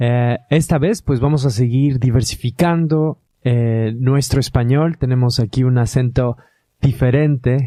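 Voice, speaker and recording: Speaking at a fairly slow pace, a man has a medium pitch, a dark, mellow tone, fairly even intonation, and very even loudness. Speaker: podcast host. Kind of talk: podcast introduction.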